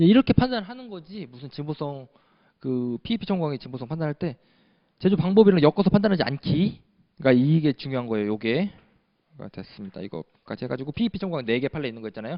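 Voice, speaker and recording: A man with a fairly high voice talks at a very fast pace. His pitch swings very widely and his loudness shifts a lot. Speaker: patent law lecturer. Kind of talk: lecture.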